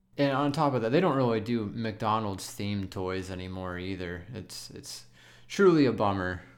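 A man talks at a moderate pace in a fairly low pitch, his intonation lively and his loudness swinging widely, with audible echo from the room. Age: 30s. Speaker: podcast co-host. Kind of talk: casual chat.

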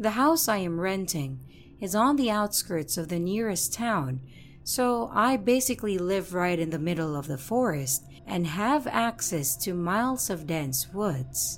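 The pitch swings very widely at a fairly slow pace. Music plays in the background. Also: woman, medium pitch for a woman. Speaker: horror story narrator. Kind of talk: reading aloud a first-person horror story submission. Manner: steady storytelling narration, building suspense.

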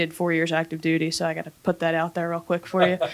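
Delivered at a very fast pace, the speech has an American accent and monotone, flat intonation. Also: woman. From Philadelphia area. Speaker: army veteran, IT worker. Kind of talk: panel discussion.

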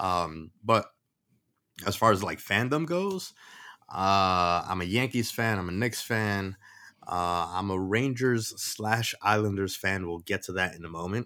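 A man with an American accent speaks at a fairly slow pace in a fairly low voice with ordinary pitch variation and a bright, sharp tone. The recording is very clean, with a silent background. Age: 30s. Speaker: podcast host. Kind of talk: casual chat.

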